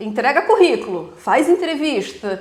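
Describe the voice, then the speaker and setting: A woman's extremely high voice with very wide pitch swings and a slight southern Brazilian accent, amid noticeable background noise. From southern Brazil, Rio Grande do Sul. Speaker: physiotherapist, immigrant. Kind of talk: casual interview.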